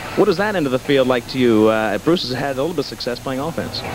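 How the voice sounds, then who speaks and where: Noticeable background noise runs under a man's voice. The sound is dry, with no echo. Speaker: professional soccer player. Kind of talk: halftime interview; interview answer. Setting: arena floor. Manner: halting. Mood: relaxed, appreciative. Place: stadium. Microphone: handheld.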